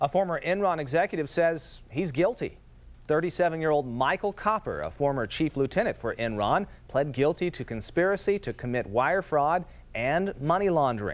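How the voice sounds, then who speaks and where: Against a quiet background, a man with an ordinary speaking voice talks at a moderate pace, his fairly high pitch rising and falling in lively intonation. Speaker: news anchor. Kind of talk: local TV newscast anchor read.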